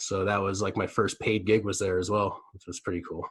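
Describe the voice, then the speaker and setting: Recorded very cleanly against a silent background, a man with a Nova Scotian accent speaks at a fairly low pitch. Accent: Nova Scotian Canadian English. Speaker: comedian, podcast host. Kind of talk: casual chat. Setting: socially distanced sit-down interview.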